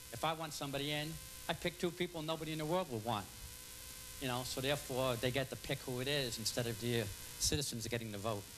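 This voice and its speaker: A man with medium pitch talks at a very fast pace, his pitch varying in an ordinary way. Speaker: public commenter at council meeting. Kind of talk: reading aloud. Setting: public meeting.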